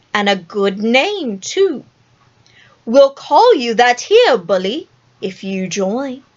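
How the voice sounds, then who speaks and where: Putting on a character voice, a woman speaks at a very slow pace and fairly high pitch, with long, frequent pauses. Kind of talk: storybook villain acting. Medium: read story. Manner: theatrical, menacing.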